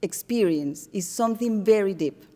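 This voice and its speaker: A Spanish accent at a moderate pace. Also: woman. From Colombia. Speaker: artist. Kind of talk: artist talk to audience. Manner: halting.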